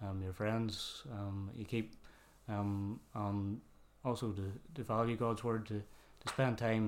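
The speaker has a Northern Irish accent and fairly even intonation. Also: man. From Northern Ireland, Kilkeel, County Down. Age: 20s. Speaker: church youth group leader. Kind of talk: casual interview testimony.

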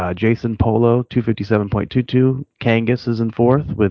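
With an American accent, a man speaks in a monotone, flat intonation. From Cleveland area, Ohio. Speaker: fantasy football podcaster. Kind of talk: casual chat.

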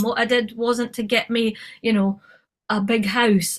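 A woman in an Edinburgh accent, fairly high-pitched with ordinary pitch variation, at a fairly slow pace. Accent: Edinburgh Scottish. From Scotland, Edinburgh. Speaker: film and TV producer. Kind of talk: casual interview.

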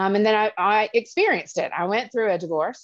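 A woman with an Alabama accent speaks at a moderate pace with ordinary pitch variation against a quiet background. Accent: Southern US (Alabama). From Alabama, US South. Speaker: family law attorney. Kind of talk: casual interview. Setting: at the beach, remote.

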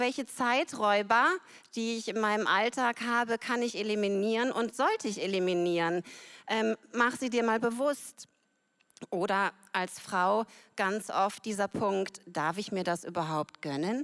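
This is a plain, everyday voice with ordinary pitch variation at a fairly slow pace. The recording is very clean, with a silent background. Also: woman, fairly high pitch for a woman. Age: 40s. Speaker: church member. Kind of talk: testimony.

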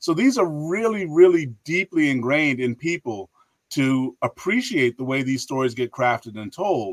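In an animated tone, a man speaks at a fairly high pitch, with a dry, close sound and no echo. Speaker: history professor and author. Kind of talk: casual interview.

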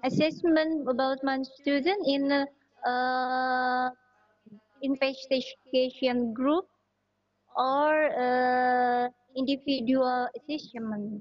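A woman with an Indonesian accent speaks at a very slow pace in a high voice, leaving long, frequent pauses. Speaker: host of teacher chat room. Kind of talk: online teacher discussion. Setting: video call.

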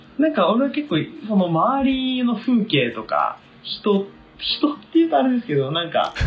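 Against noticeable background noise, a man's high voice swings very widely in pitch at a moderate pace. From Tokyo. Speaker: university student. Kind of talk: casual chat.

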